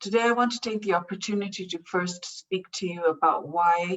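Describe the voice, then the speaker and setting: A woman with a Pakistani accent speaks at a moderate pace with fairly even intonation. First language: Urdu. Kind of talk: prepared speech. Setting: online event.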